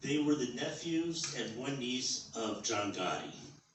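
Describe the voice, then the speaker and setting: Over noticeable background noise, a man with a New York accent talks in a fairly high voice. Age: 60s. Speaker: amateur stand-up comedian. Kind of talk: stand-up comedy set. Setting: comedy club open mic.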